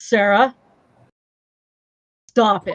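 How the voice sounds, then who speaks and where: A female-sounding put-on character voice at a fairly high pitch. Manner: stern, scolding.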